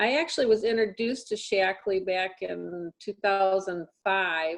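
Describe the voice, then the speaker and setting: At a fairly slow pace, a woman speaks in an ordinary speaking voice of medium pitch with ordinary pitch variation. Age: 60s. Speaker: hearing care practitioner and product distributor. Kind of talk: personal testimony.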